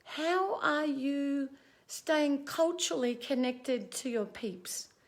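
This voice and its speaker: A woman talks at a very slow pace with a high pitch. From Australia. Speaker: mental health advocate. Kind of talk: livestream talk to viewers. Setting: outdoors on balcony. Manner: casual, conversational.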